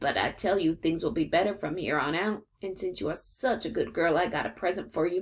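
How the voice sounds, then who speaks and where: Someone delivers a raspy, put-on character voice at a fairly quick pace with ordinary pitch variation. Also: woman, medium pitch for a woman. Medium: read story. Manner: folksy, patient.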